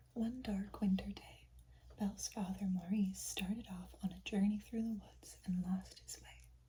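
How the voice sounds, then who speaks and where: Soft-spoken and calm in tone, the speaker talks in a whisper. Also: moderate pace. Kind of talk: storybook reading aloud. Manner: soft, whispery, calm.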